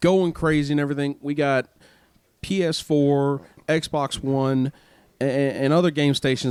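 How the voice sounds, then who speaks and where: The speaker has a Mississippi accent and fairly even intonation. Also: man. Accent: Southern US (Mississippi). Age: 20s. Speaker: podcast co-host. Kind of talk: casual chat.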